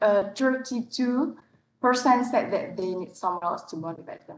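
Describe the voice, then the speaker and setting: Speaking with a non-native accent, a woman uses lively intonation. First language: not English. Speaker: public speaking competition contestant. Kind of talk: competition speech. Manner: halting.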